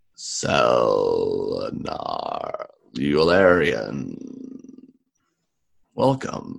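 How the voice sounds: Using a put-on character voice, a man speaks very slowly with long, frequent pauses.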